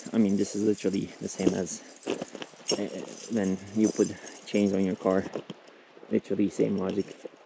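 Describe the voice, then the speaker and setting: A man whispers quietly at a moderate pace, with long, frequent pauses and noticeable background noise. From Turkey. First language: Turkish. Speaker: travel vlogger. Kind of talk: casual vlog narration. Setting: outdoors on a hiking trail. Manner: halting, with many fillers; quiet, half-whispering.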